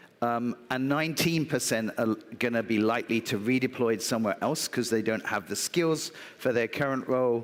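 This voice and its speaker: Keeping his loudness very even, a man with a British accent speaks at a medium pitch and moderate pace, with ordinary pitch variation. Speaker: business executive. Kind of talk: conference talk. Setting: stage with audience.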